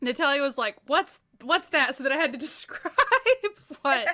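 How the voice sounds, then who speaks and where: A raised, projected voice with a bright, sharp tone and lively intonation moves at a moderate pace on a very clean recording with a silent background. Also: woman. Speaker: podcast co-host. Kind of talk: casual chat. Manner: dry.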